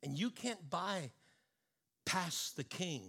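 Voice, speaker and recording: A man's bright, sharp voice carries vocal fry and very wide pitch swings. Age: 50s. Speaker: pastor. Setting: church service with live congregation. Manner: earnest, fervent and intimate, urging the room to respond aloud; conversational and halting, repeating words and filling with um.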